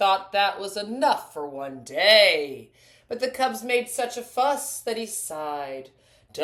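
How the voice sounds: The voice reads naturally. It is a natural reading voice.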